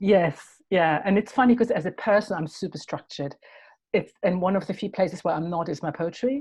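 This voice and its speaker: A woman talks at a medium pitch and fairly quick pace, somewhat breathy, with ordinary pitch variation. The background is quiet. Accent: German. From Germany. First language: German. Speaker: poet. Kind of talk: interview. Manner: halting.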